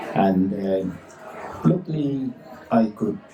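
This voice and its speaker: A man with a Dublin accent speaks at a very slow pace, his intonation fairly even. Noticeable background noise runs under the recording. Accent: Dublin Irish. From Ireland. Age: 80s+. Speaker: tailor and campaigner. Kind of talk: interview.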